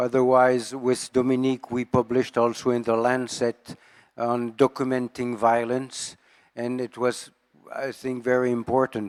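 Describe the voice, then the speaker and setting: A man with a French accent at a medium pitch and moderate pace, monotone, flat intonation and a dry, close sound with no echo. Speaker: epidemiologist. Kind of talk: audience comment at a conference. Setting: conference session with audience.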